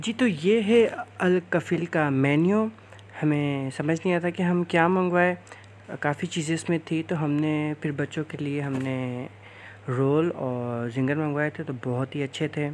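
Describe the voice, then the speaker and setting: A man speaks at a very slow pace with ordinary pitch variation. Light background noise is present. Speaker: vlogger. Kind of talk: casual vlog chat. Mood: cheerful. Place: cafe. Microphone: phone near.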